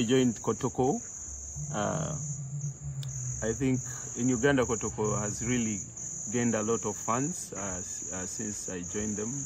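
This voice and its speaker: A man with a medium-pitched voice talks at a fairly slow pace, his pitch swinging very widely. The sound is dry with no echo, with noticeable background noise and long, frequent pauses. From Uganda. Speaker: professional footballer. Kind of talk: interview. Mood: relaxed, smiling. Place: street.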